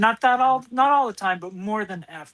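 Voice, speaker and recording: A woman with an American accent and an ordinary speaking voice talks at a moderate pace with lively intonation. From US Upper Midwest, central Minnesota farm. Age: 60s. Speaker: comedian. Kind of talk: interview.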